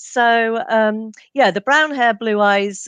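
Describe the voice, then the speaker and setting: Heard with a dry, close sound and no echo, a woman speaks with an English accent. Her pace is fairly slow, with ordinary pitch variation. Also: quiet background. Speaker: genealogist and author. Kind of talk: interview.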